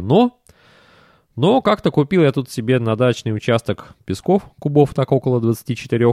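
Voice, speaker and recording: Lively intonation from a man at medium pitch, dark and mellow in tone, dry and close with no echo, on a very clean recording with a silent background. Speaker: podcast host, railway enthusiast blogger. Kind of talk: solo monologue podcast.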